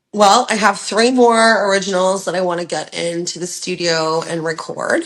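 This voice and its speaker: An unremarkable speaking voice from a woman with a Canadian accent, medium in pitch, at a moderate pace with ordinary pitch variation. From Ontario, Canada. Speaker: rock singer and songwriter. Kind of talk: interview answer.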